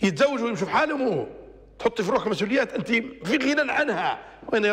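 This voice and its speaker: A man with a Libyan accent in an animated tone, fairly quick pace, quiet background. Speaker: religious TV presenter; TV presenter. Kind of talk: religious talk show monologue. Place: studio. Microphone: lapel.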